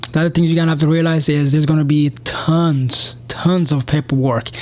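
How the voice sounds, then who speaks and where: A man's fairly high voice at a fairly quick pace, fairly even in intonation, with noticeable background noise. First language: not English. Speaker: police officer and vlogger. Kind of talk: casual advice vlog. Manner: hesitant, many fillers.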